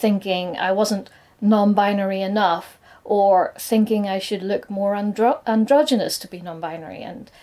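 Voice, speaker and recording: A woman's medium-pitched voice with a dark, mellow tone, fairly even intonation, big swings in loudness and a moderate pace, on a very clean recording over a silent background. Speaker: nail artist and content creator. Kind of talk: scripted personal coming-out talk to camera.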